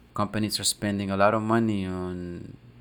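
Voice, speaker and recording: A man with a Spanish accent speaks at a moderate pace and a fairly low pitch. His intonation is monotone and flat on a very clean recording with a silent background. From South America. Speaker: marketing co-host. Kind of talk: casual chat.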